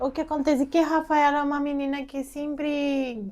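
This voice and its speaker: In a very clean recording with a silent background, a woman speaks with a Peruvian accent. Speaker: journalist, immigrant mother. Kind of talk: interview testimony.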